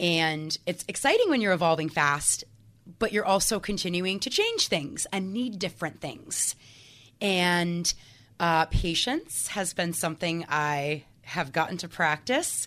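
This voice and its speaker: Woman with an unremarkable speaking voice, fairly low pitch, ordinary pitch variation and a fairly slow pace. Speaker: mindset coach. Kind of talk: casual interview.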